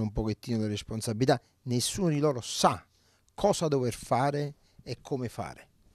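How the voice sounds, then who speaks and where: Over a quiet background with a dry sound and no echo, a man speaks at a moderate pace with ordinary pitch variation. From Naples, Italy; Italy. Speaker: oncologist; interviewee. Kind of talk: interview. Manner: halting, many fillers. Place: home room. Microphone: handheld.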